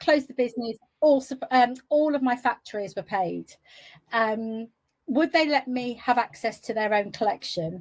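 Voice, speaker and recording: A woman's high-pitched voice comes across on a very clean recording against a silent background. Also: ordinary pitch variation, moderate pace. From England, West Midlands. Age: 60s. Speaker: entrepreneur. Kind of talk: interview.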